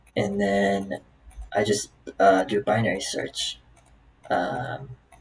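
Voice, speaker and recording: Lively intonation marks this man's fairly low voice. He talks at a very slow pace. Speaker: software developer practicing coding problems. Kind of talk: live coding tutorial, thinking aloud. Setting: recording at home on laptop with webcam. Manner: halting, many fillers.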